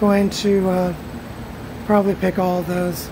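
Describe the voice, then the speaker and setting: A woman talks at a fairly slow pace with monotone, flat intonation over noticeable background noise. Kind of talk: casual vlog chat. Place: garden. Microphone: phone near.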